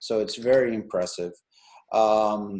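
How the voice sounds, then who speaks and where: A man speaks with a Brazilian accent. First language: Portuguese. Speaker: meetup organizer and interviewer. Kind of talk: interview on video call.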